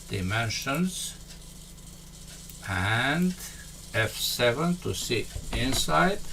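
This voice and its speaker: With a Romanian accent, a man speaks at a very slow pace, his pitch swinging very widely between long, frequent pauses, over noticeable background noise. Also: medium pitch for a man. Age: 70s. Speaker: software tutorial instructor. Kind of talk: tutorial. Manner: halting.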